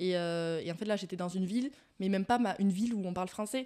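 A woman with an ordinary speaking voice is heard on a very clean recording with a silent background. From Landes, southwest France. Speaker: student guest. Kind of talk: casual chat, interview.

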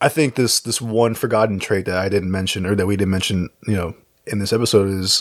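In a very clean recording with a silent background and a dry, close sound with no echo, a man uses a plain, everyday voice at a fairly low pitch, with ordinary pitch variation and a fairly quick pace. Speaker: podcast co-host. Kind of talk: casual chat.

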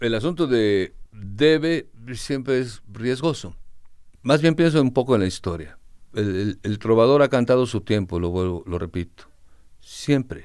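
Against a silent background in a very clean recording, a man with a medium pitch and an unremarkable speaking voice talks at a fairly slow pace with lively intonation. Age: 60s. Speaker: singer-songwriter. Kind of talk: interview.

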